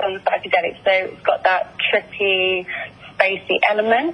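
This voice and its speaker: Fairly slow speech from a woman with an Essex accent, against noticeable background noise. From England, Essex. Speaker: singer-songwriter. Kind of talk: interview. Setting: phone call.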